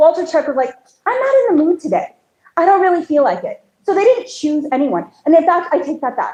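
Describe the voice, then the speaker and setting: Loud and animated, a woman speaks at a fairly quick pace with an extremely high pitch and very wide pitch swings. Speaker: county commissioner candidate. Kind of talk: campaign speech.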